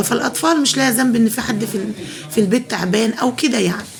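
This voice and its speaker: A soft-spoken woman with an Egyptian accent talks at a fairly quick pace over noticeable background noise. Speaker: home cooking vlogger. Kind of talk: cooking tutorial. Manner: soft-spoken, lowered voice.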